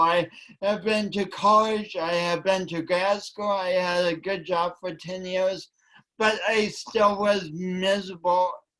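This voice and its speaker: A man speaks at a very slow pace in a raised, projected voice. His pitch is high and his tone bright and sharp. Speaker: motivational speaker. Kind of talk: motivational talk. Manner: halting, repeats words.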